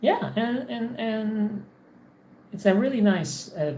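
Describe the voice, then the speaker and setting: A woman of medium pitch with very wide pitch swings, amid noticeable background noise and audible room echo. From Poland. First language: Polish. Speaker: English teacher streamer. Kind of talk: casual livestream monologue. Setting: home office. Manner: halting, many repetitions.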